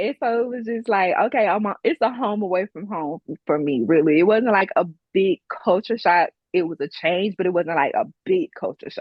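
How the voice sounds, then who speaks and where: The speaker has a strong Deep South accent, a moderate pace and lively intonation. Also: woman, medium pitch for a woman. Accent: strong Southern twang, Mississippi-Alabama. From Mississippi, Gulfport. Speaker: business owner and military veteran. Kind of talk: casual interview.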